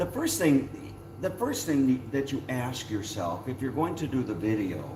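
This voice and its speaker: Through audible room echo, a man at medium pitch talks at a fairly slow pace with lively intonation. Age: 70s. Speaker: YouTuber. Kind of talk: casual chat.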